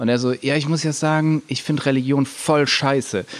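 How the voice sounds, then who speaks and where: Here is an ordinary speaking voice at a moderate pace. The intonation stays fairly even. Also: man. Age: 30s. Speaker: video game company founder and theologian. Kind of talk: casual interview.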